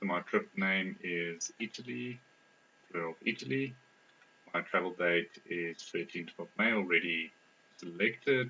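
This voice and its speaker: A man with a non-native accent speaks at a fairly slow pace with a very deep, low pitch. His intonation is lively, broken by long, frequent pauses. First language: not English. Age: 20s. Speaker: software developer, test participant. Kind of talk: think-aloud usability testing.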